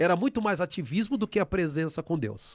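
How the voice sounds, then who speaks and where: With lively intonation and high pitch, a man talks at a moderate pace in a very clean recording with a silent background and a dry, close sound with no echo. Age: 50s. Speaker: church member sharing testimony. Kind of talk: testimony. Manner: halting.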